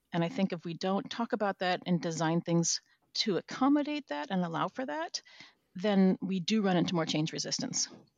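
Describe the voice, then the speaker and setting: This woman has an ordinary speaking voice at a medium pitch, with an American accent. Her intonation is lively. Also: moderate pace. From Minnesota. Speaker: organizational change manager. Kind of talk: interview.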